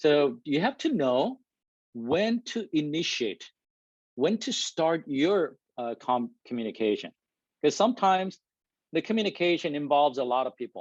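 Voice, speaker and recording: A man with a fairly high pitch speaks with very wide pitch swings and long, frequent pauses, the sound dry and close with no echo over a quiet background. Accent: non-native. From Korea. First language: Korean. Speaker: engineering manager giving a talk. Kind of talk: presentation to an audience. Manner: deliberate, trying to speak clearly.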